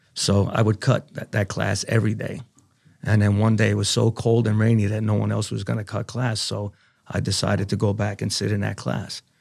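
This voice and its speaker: A man's fairly low voice, flat and monotone with vocal fry, comes through on a very clean recording with a silent background. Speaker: navy veteran. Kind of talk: interview.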